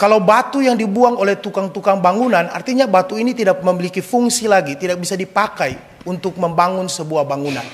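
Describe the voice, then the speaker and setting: Against noticeable background noise, a man talks at a very fast pace with hardly any pauses. His pitch is high. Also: ordinary pitch variation. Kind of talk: sermon. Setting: church, Mass.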